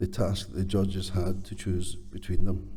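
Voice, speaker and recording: Audible room echo surrounds a man with a Scottish accent. His tone is dark and mellow, and somewhat breathy. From Scotland. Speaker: construction training chief executive. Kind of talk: award presentation speech.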